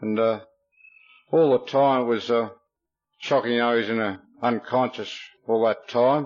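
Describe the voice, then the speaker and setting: Music plays in the background as a man with an Australian accent talks at a medium pitch and a moderate pace, his intonation fairly even and his pauses long and frequent. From Victoria, Australia. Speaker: recovering alcoholic speaker. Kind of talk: testimony. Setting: stage with audience.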